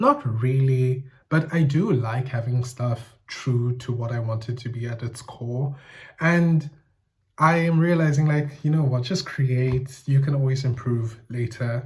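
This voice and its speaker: This man speaks at a medium pitch with a somewhat breathy voice. His pace is fairly slow and his intonation fairly even. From South Africa, Eastern Cape. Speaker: YouTuber. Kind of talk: casual monologue video essay. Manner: casual, thinking aloud with self-corrections.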